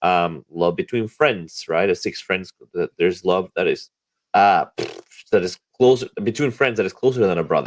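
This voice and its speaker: Recorded dry and close with no echo, a man speaks with a non-native accent. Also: moderate pace. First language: not English. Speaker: podcast host. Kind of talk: casual chat. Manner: halting; animated.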